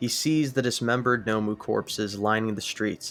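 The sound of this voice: With fairly even intonation, the clip is delivered in an unforced reading voice.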